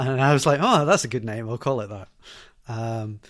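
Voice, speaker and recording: A man with a Glaswegian accent at a fairly quick pace and medium pitch. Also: very clean recording, silent background. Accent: Glaswegian Scottish. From Scotland, Glasgow. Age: 40s. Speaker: software developer. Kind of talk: interview. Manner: halting.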